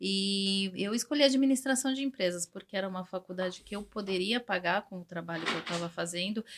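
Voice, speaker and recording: A woman with an ordinary speaking voice talks at a fairly quick pace with hardly any pauses, using a medium pitch and ordinary pitch variation. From Brazil, São Paulo. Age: 40s. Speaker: English teacher. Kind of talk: interview.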